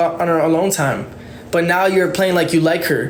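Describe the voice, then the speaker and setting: Audible echo from the room and noticeable background noise surround the speech. The speaker is a man talking fairly quickly. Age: 20s. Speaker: TikTok livestreamer. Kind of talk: live stream rant. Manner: stuttering; halting.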